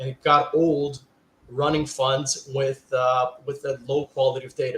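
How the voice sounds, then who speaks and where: A man at a medium pitch speaks with a Portuguese accent. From Brazil, São Paulo. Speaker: fund manager. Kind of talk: panel discussion.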